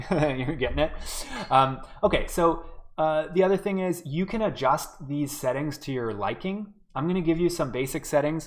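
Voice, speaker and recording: A man with fairly high pitch speaks at a moderate pace in a normal speaking voice with ordinary pitch variation. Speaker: game development workshop instructor. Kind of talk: live-streamed tutorial. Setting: live online stream. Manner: casual, many filler words.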